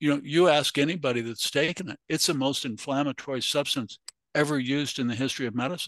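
Against a quiet background, a man with a fairly high pitch and ordinary pitch variation speaks at a very fast pace. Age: 70s. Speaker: obstetrician.

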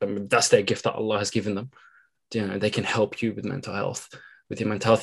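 A man speaks with a British accent. His pitch sits fairly low. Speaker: podcast host. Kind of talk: interview.

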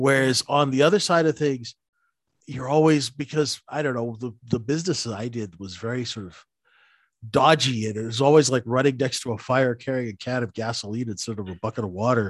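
A man with an ordinary speaking voice, medium pitch, ordinary pitch variation, a fairly quick pace and big swings in loudness over a quiet background. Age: 50s. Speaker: former market maker and retail trader, podcast co-host. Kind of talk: casual podcast chat.

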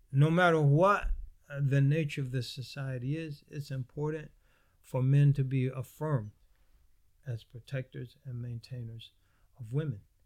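A man with an American accent talks at a fairly slow pace in a fairly high, somewhat breathy voice with ordinary pitch variation. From United States. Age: 60s. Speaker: Islamic scholar and imam. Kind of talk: interview discussion on religion. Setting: mosque room, filmed shoot.

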